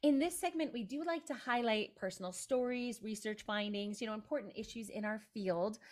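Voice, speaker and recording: A woman speaks in a plain, everyday voice with a fairly high pitch. Her intonation is lively. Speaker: podcast host. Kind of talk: casual chat.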